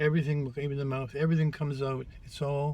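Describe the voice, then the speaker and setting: A somewhat breathy man's voice at medium pitch, with monotone, flat intonation. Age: 70s. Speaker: drag makeup vlogger. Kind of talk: tutorial. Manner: halting.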